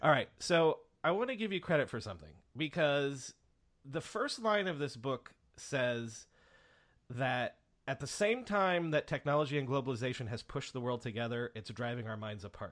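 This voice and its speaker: A man has a plain, everyday voice, pitched fairly high, with lively intonation. He keeps a moderate pace over a quiet background. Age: 30s. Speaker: podcast host. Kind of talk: interview.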